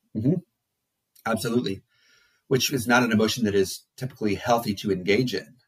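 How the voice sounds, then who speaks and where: A man talks at a very fast pace yet with long, frequent pauses. His medium-pitched voice is somewhat breathy, with ordinary pitch variation. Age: 40s. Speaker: psychologist and therapist. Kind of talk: casual interview. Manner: halting.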